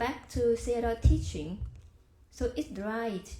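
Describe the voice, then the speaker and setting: At a fairly slow pace, a woman speaks with a Vietnamese accent. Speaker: Buddhist practitioner sharing dharma. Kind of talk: dharma discussion. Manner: halting.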